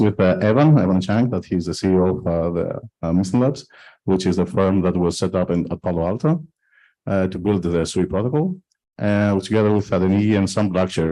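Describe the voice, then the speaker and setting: Over a quiet background, a man with a Greek accent speaks at a moderate pace in a fairly low pitch, with ordinary pitch variation and a dark, mellow tone. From Greece. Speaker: blockchain foundation executive. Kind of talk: panel discussion. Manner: halting, many fillers.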